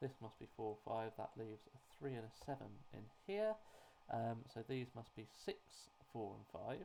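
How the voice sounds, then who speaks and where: A man at a moderate pace with long, frequent pauses. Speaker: sudoku puzzle setter and solver. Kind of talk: tutorial. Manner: hesitant, many fillers.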